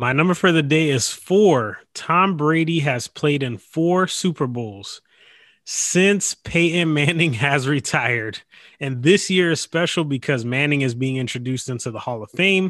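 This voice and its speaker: A man with a normal speaking voice talks at a fairly slow pace and fairly high pitch, with ordinary pitch variation, against a quiet background. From Florida, Tampa. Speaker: sports podcast co-host. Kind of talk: casual chat; scripted outro.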